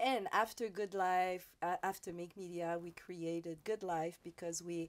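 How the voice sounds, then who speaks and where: On a very clean recording with a silent background, a woman with a Quebec accent speaks at a fairly slow pace, her fairly low pitch held in fairly even intonation. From Quebec, Montreal South Shore. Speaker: radio host. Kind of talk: interview. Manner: halting.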